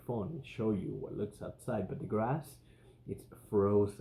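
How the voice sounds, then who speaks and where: At a moderate pace, a man speaks with a dark, mellow, somewhat breathy tone, a fairly low pitch and ordinary pitch variation. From Spain. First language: Spanish. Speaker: podcast host. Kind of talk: casual monologue.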